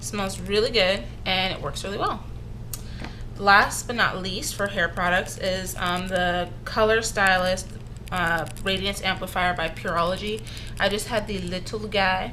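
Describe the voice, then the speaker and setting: Audible room echo surrounds a woman speaking at a fairly slow pace. Her medium-pitched delivery is monotone and flat. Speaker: beauty vlogger. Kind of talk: casual product review. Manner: halting, many fillers.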